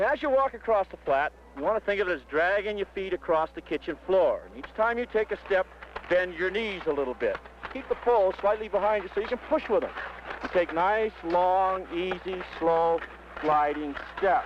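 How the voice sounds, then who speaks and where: A man with an American accent speaks at a high pitch with ordinary pitch variation over noticeable background noise. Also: moderate pace, big swings in loudness. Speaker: ski instructor. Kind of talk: instructional demonstration narration. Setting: outdoors on a mountain slope, 1969 film recording. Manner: friendly, encouraging, conversational.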